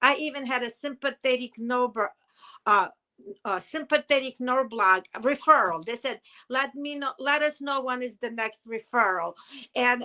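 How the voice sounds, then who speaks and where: Speaking at a fairly slow pace with a Russian accent, a woman uses a high-pitched, bright, sharp voice with ordinary pitch variation. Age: 50s. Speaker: hairdresser and business owner, chronic pain survivor. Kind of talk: interview testimony. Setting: podcast interview. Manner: emotional, halting.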